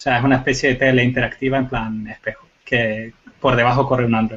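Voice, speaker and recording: A man talks at a moderate pace and a medium pitch. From Canary Islands. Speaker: computer forensics expert. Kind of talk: panel discussion.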